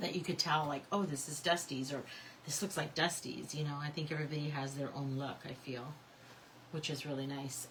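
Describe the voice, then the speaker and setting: Amid audible room echo, a woman with a very deep, low pitch speaks at a moderate pace. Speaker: craft tutorial host. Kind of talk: live crafting tutorial. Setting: livestream. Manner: casual, chatty.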